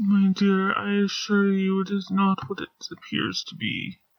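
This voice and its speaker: This female-sounding voice is a put-on character voice, pitched in the middle and delivered at a moderate pace. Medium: read story. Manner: calm, gentle, formal.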